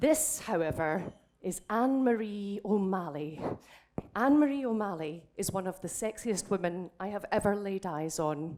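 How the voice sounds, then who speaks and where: Speaking at a moderate pace with a Scottish accent, a woman sounds animated, her intonation lively. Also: medium pitch for a woman. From Scotland. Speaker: drag king comedian. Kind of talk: stand-up. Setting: stage with audience.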